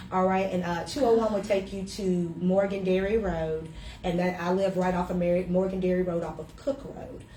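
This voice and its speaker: In a Southern US accent, a woman with a medium pitch speaks at a moderate pace, with audible room echo and noticeable background noise. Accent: Southern US (Georgia). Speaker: winery owner. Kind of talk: casual interview. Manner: loud; animated, hesitant fillers.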